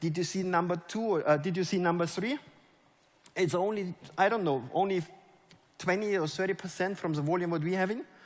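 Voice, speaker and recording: Animated and fairly quick, a man with a German accent speaks at a high pitch, breaking often with long pauses. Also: ordinary pitch variation. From Germany. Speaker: network marketing leader. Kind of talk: motivational talk. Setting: stage with audience.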